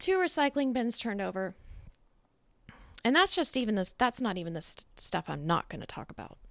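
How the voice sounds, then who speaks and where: Pitched fairly high, a woman's voice swings very widely in pitch and greatly in loudness. Long, frequent pauses break her speech on a very clean recording with a silent background. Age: 40s. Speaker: podcaster. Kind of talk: personal monologue. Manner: halting.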